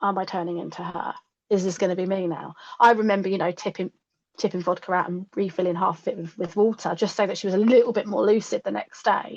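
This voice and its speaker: A woman speaks at a very fast pace and medium pitch, keeping her intonation fairly even. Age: 30s. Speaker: podcast guest. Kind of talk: testimony.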